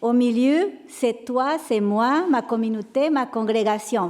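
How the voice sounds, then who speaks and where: In a Mexican accent, a dark, mellow tone with lively intonation unfolds at a very slow pace. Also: woman. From Mexico. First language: Spanish (speaking French). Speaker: panelist, religious sister. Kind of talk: panel talk. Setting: sanctuary with audience.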